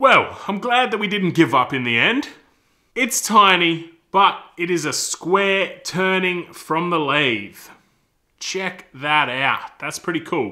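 This man's tone is bright and sharp. He talks at a very slow pace against a quiet background. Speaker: woodworking channel host. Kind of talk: casual vlog chat. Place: workshop.

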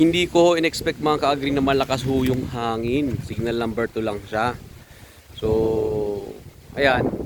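A man talks at a fairly slow pace and medium pitch with ordinary pitch variation, over noticeable background noise. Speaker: backyard gamefowl breeder vlogger. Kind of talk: casual video walkthrough. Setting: outdoors in backyard.

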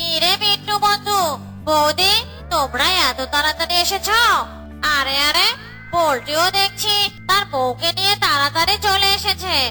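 A cartoonish character voice speaks at a fairly slow pace with clear music in the background. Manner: friendly, hospitable.

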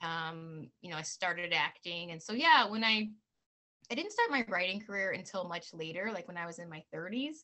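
A woman talks at a moderate pace and medium pitch with ordinary pitch variation. Her loudness swings widely over a quiet background. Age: 40s. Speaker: author and actress; actress. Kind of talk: casual interview. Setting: video call. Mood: warm, animated. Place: home room. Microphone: video call.

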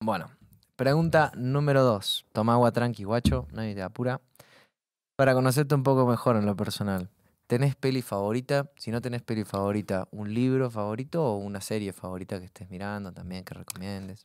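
Against a quiet background with a dry sound and no echo, a man talks fairly quickly at medium pitch, with ordinary pitch variation and big swings in loudness. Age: 20s. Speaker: podcast host. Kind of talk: casual interview. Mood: relaxed, joking. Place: studio. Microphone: studio mic.

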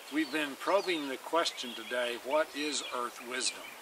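A man's moderate-paced speech comes through dry, with no echo, against noticeable background noise. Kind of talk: informal lecture-style summary. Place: garden. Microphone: camera far.

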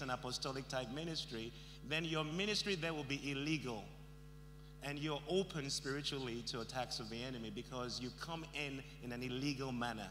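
Over noticeable background noise, a man talks at a very fast pace in a bright, sharp tone with vocal fry and ordinary pitch variation. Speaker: guest preacher. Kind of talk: sermon. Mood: warm, lightly humorous. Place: hall. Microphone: handheld.

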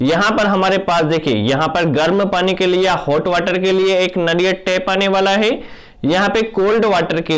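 A quiet background surrounds the recording. A man talks through it at a fairly slow pace. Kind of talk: tutorial. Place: bathroom. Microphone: phone near.

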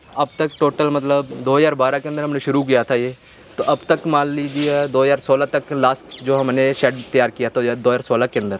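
Over light background noise, a man speaks at a moderate pace with hardly any pauses, in a monotone, flat intonation, with a dry sound and no echo. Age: 20s. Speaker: goat farmer. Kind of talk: interview.

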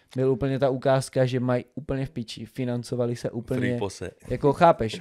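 Against a quiet background, a man speaks at a moderate pace in a dark, mellow tone with flat, monotone intonation. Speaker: podcast host. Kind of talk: casual podcast chat. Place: studio. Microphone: studio mic.

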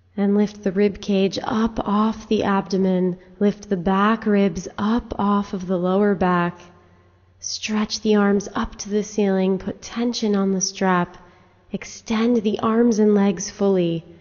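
A woman's very slow, monotone delivery with flat intonation against a quiet background. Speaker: yoga teacher. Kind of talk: guided yoga instruction. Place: empty room.

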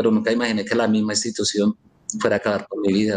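A man talks at a very fast pace. His medium pitch holds fairly even intonation. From Colombia. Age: 50s. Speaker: wrongfully convicted former court clerk; interviewee. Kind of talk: interview testimony. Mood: earnest, aggrieved. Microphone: video call.

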